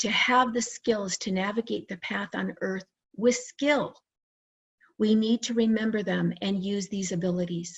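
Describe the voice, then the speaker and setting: A woman's somewhat breathy voice at medium pitch, with fairly even intonation. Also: fairly slow pace. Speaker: licensed psychotherapist and near-death experiencer. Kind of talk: conference presentation.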